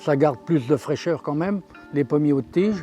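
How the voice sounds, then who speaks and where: A man with ordinary pitch variation over music in the background. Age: 70s. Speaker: cattle farmer. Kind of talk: interview answer.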